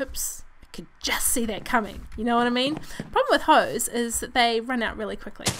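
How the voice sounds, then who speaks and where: A woman with a New Zealand accent speaks in a high pitch at a fairly quick pace. Her tone is upbeat, and background noise is noticeable. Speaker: gaming video creator. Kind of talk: casual let's play commentary.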